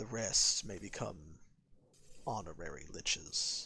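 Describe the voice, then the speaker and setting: At a fairly slow pace, the speaker delivers lines in a put-on character voice. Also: man, very deep, low pitch for a man. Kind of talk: dramatic dialogue reading. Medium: game stream. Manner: haughty, cold.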